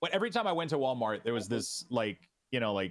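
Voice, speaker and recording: A man speaks at a fairly quick pace. He has a slight French Canadian accent. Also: very clean recording, silent background. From Quebec. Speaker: streamer. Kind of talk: interview. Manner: halting.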